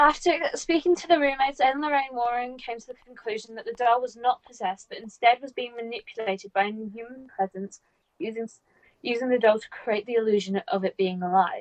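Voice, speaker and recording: Speaking in a British accent at a fairly quick pace, a woman uses a high pitch and lively intonation, her loudness swinging widely in a dry, close sound with no echo. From Britain. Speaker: podcast co-host. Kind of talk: reading aloud a researched story; casual chat.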